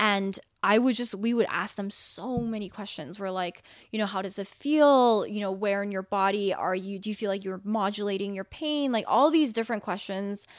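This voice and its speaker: An unremarkable speaking voice from a woman at medium pitch, moderate in pace with ordinary pitch variation, in a very clean recording with a silent background. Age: 20s. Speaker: startup founder. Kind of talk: casual chat.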